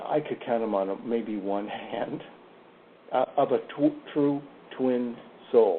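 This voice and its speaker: Through noticeable background noise, a man speaks very slowly with long, frequent pauses. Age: 60s. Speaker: psychic. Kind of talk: interview on a radio show. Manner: halting, with repeated words.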